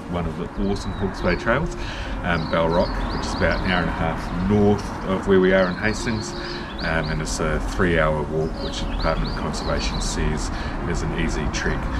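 Loud background noise around a man speaking at a fairly quick pace. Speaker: hiking vlogger. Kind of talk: casual vlog chat. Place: garden. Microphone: camera far.

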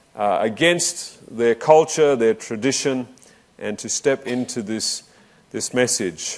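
With lively intonation, the speaker proceeds at a fairly slow pace. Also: man. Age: 40s. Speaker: preacher. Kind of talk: sermon. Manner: halting. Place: hall. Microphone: lapel.

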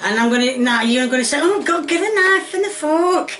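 In a Yorkshire accent, a woman speaks fairly slowly with very wide pitch swings over light background noise. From Yorkshire, northern England. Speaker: home cooking video host. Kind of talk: cooking tutorial. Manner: chatty, rambling. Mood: cheeky, mildly defiant. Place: kitchen. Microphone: phone near.

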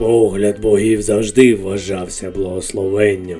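Faint music plays in the background as a put-on character voice speaks at a moderate pace. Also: man, fairly low pitch for a man. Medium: fan dub. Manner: grave, unhurried.

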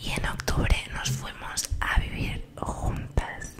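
Loud background noise fills the recording. A soft-spoken woman talks through it. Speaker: ASMR creator. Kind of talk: soft casual vlog chat. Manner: soft close-mic ASMR storytelling voice. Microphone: studio mic.

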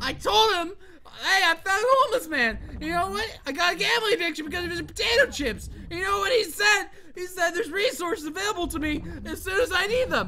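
An animated voice speaks at a very fast pace over noticeable background noise. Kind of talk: mock-furious gaming rant, shouting over a frustrating game.

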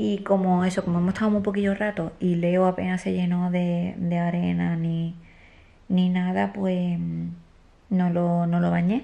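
A woman's dark, mellow voice sits at a fairly low pitch, with monotone, flat intonation and very even loudness. She talks at a very slow pace with long, frequent pauses. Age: 20s. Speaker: family vlogger, stay-at-home mother. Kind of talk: casual vlog talk to camera. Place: home room. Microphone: phone near.

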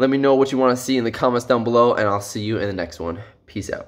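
The man's speech is very fast. His pitch moves with ordinary variation. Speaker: gymnastics tricking vlogger. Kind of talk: casual vlog chat. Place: home room. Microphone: phone near.

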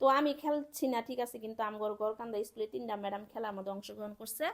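A woman talks in a plain, everyday voice, her pitch fairly high. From Bangladesh, Sherpur district. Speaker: vlogger, government employee. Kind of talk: casual vlog narration. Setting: outdoors at school sports field.

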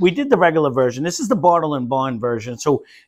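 A man with ordinary pitch variation over a quiet background. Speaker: whiskey review host. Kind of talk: casual review chat. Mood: relaxed, joking. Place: home room.

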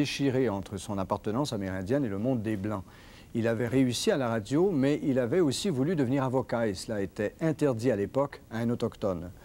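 Lively intonation marks this man's speech. His tone is dark and mellow, his pace fairly quick. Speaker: TV news presenter. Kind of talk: TV broadcast introduction. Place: studio. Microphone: lapel.

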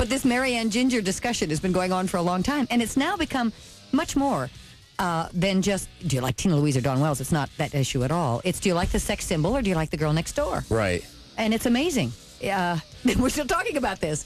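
A woman talks at a fairly quick pace while faint music plays behind her. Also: dry sound with no echo. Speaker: guest actress on book tour. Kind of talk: interview answer. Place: studio.

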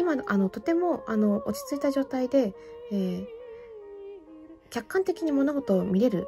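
A woman's high voice with very wide pitch swings, music in the background. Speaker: fortune teller; classical soprano singer. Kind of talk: tarot reading to camera.

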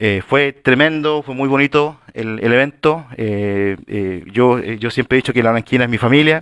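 Dry, echo-free sound over a quiet background, with ordinary pitch variation and hardly any pauses. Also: man, fairly slow pace. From Chile. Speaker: city councillor. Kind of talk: formal council meeting. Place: meeting room.

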